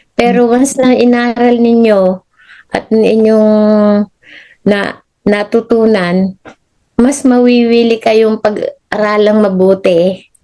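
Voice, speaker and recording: Her voice fairly high and dark, mellow in tone, a woman speaks at a very slow pace with very even loudness and fairly even intonation. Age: 70s. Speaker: retired nurse. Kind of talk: interview answer.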